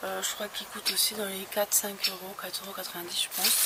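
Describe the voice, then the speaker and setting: A woman speaks in a soft-spoken way. Noticeable background noise can be heard. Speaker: beauty vlogger. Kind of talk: haul video, casual talk to camera. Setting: outdoors. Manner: hesitant, many fillers.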